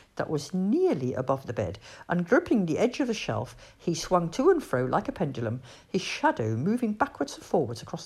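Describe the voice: The speaker simply gives a plain reading aloud.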